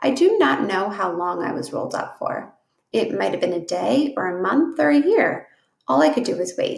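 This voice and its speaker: A raspy, put-on character voice talks at a moderate pace. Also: woman, medium pitch for a woman. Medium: read story.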